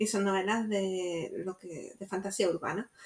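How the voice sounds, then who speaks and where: This woman has a medium-pitched voice. Her intonation stays fairly even. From Jaén, Andalusia, Spain. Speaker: writer and teacher. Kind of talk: interview.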